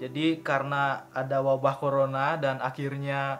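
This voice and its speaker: This man talks at a moderate pace with a fairly high pitch and a monotone, flat intonation. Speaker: YouTuber, vape reviewer. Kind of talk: casual vlog talk to camera. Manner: fluent, relaxed.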